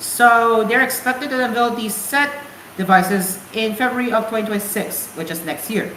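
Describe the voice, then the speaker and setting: A woman speaks at a moderate pace in a fairly high voice with ordinary pitch variation, with noticeable background noise and audible room echo. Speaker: radio show host. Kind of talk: casual radio show talk; news reading. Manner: halting, self-correcting.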